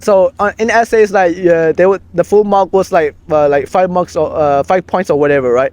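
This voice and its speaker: A man with a Burmese accent speaks at a high pitch with very even loudness and hardly any pauses, in a dry, close sound with no echo. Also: ordinary pitch variation, moderate pace. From Myanmar. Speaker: community co-founder. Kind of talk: casual conversation. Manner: halting, many fillers and restarts.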